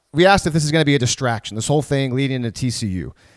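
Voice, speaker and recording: A man's fairly high, lively voice, a normal speaking voice, with a dry, close sound with no echo and a very clean recording, silent background. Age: 30s. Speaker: sports podcast host. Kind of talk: casual chat.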